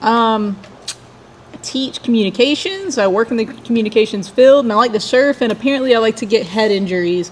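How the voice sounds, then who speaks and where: Against noticeable background noise, a woman with a Southern US accent talks at a fairly quick pace and fairly high pitch with ordinary pitch variation. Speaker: singer and guitarist in a cowpunk band. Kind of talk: casual chat.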